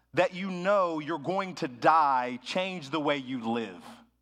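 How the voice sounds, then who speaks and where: Delivery comes at a very slow pace with lively intonation. The tone is bright and sharp. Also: man. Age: 30s. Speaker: pastor. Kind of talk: sermon. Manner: casual, conversational.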